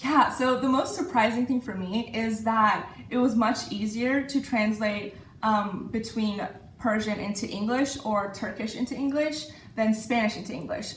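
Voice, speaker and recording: A woman talks at a moderate pace, fairly high in pitch with ordinary pitch variation. Noticeable background noise and audible room echo fill the recording. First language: Farsi. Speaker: university student. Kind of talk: interview. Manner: hesitant, with many fillers.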